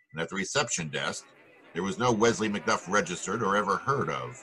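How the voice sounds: A man puts on a character voice, low in pitch, with a slightly husky edge and a bright, sharp tone. He talks at a fairly quick pace with lively intonation.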